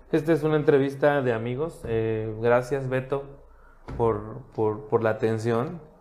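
A man speaks at medium pitch and a fairly slow pace with ordinary pitch variation in a plain, everyday voice. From Mexico, Cancún. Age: 30s. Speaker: marketing professional and government communications official. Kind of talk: casual interview chat. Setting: office studio.

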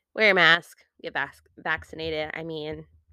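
Speaking at a very slow pace, a woman talks. She has an American accent. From United States. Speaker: podcast host. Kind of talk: casual monologue.

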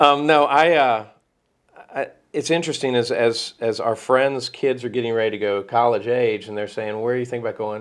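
A man's plain, everyday voice, medium in pitch, with fairly even intonation and a moderate pace over a quiet background. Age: 50s. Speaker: podcast host. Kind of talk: casual chat.

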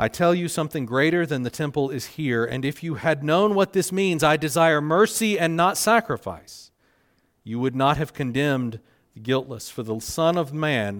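A man with a Southern US accent speaks at a moderate pace in a fairly high pitch, his lively intonation paired with big swings in loudness on a very clean recording with a silent background. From US South Carolina. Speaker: pastor. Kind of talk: sermon. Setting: church.

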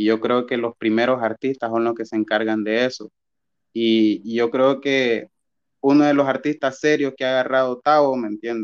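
An unremarkable speaking voice from a man at medium pitch, with fairly even intonation, a moderate pace and a quiet background. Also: dry, close sound with no echo. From Honduras, Gracias a Dios department. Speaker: musical artist. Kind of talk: casual interview.

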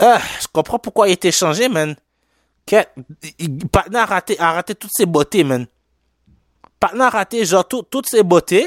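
A man with a slight Haitian accent speaks in an animated tone at a high pitch and fairly slow pace, with lively intonation, big swings in loudness, long, frequent pauses, and a dry, close sound with no echo. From Quebec, Haitian family. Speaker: sports podcast host. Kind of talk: casual solo sports commentary. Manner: halting, many fillers; animated, with lots of English slang.

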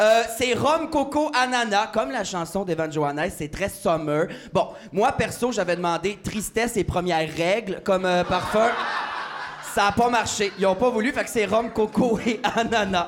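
A man's high-pitched voice with lively intonation at a fairly slow pace, over noticeable background noise. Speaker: comedian podcast host. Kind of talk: casual chat. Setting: stage with audience. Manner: animated.

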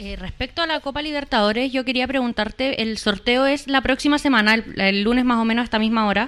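Someone talks at a very fast pace with hardly any pauses. The recording is very clean, and the background is silent. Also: woman, high pitch for a woman, ordinary pitch variation. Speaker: sports radio host. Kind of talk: casual chat.

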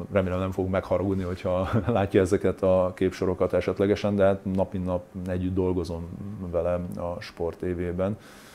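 A man's very deep, low voice with a dark, mellow tone, monotone and flat, at a moderate pace, on a very clean recording with a silent background. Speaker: former professional footballer. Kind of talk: interview. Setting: studio.

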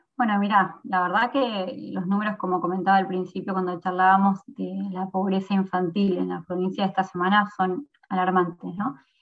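At a moderate pace, a woman talks in a plain, everyday voice at medium pitch with fairly even intonation. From Argentina, San Miguel (Buenos Aires province). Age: 20s. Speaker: provincial legislator. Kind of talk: interview.

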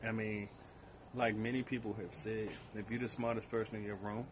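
A man's fairly low, monotone voice with flat intonation, at a fairly quick pace against noticeable background noise. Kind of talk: casual chat.

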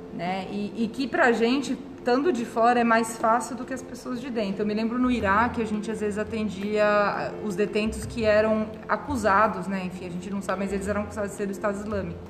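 A woman speaks fairly quickly at a fairly high pitch, with hardly any pauses and fairly even intonation. The recording has audible room echo and noticeable background noise. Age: 30s. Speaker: nurse. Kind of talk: interview.

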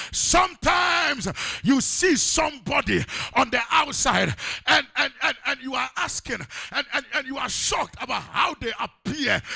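Over noticeable background noise, an animated voice moves at a moderate pace with ordinary pitch variation. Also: man, extremely high pitch for a man. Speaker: preacher. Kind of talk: sermon. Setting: church. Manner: animated, call-and-response, urging congregation to shout Amen; emphatic, exhorting, with pauses and repeated phrases.

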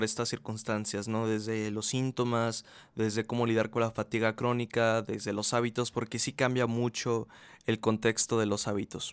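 A man at medium pitch speaks fairly slowly in a monotone, flat intonation, on a very clean recording with a silent background and a dry, close sound with no echo. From Mexico, Aguascalientes. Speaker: podcast host. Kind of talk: casual monologue. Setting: relative's home, bedroom. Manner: casual, hesitant with fillers.

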